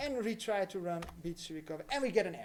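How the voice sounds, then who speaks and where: A man speaks fairly quickly with lively intonation and a non-native accent. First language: not English. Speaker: crypto livestreamer. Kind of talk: live tutorial. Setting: livestream. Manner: casual, hesitant with fillers.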